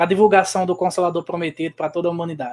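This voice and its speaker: A man speaks with a northeastern Brazilian accent and fairly even intonation. The recording is very clean, with a silent background. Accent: Northeastern Brazilian sertão. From Brazil, Rio Grande do Norte interior (Seridó). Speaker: guest interviewee, spiritist speaker. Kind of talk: interview.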